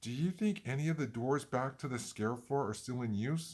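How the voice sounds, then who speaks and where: In a very clean recording with a silent background, a man performs a put-on character voice at a medium pitch and a moderate pace. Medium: read story. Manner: nervous.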